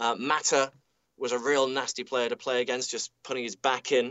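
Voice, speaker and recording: A man with a British accent speaks at a medium pitch and a moderate pace, in a monotone, flat intonation. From UK. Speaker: football commentator. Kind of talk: football analysis. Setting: remote link from stadium commentary studio.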